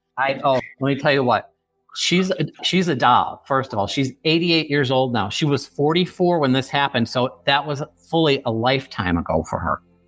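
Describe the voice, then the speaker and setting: Music plays in the background as a man with an American accent speaks in a fairly high, animated voice. His pitch varies in an ordinary way, and his loudness stays very even. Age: 50s. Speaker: forensic psychologist and author. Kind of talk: interview testimony. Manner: fast.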